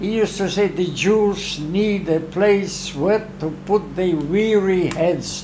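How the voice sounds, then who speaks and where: A man's high-pitched voice over background music. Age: 80s+. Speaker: painter. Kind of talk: interview answer. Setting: art studio. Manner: energetic.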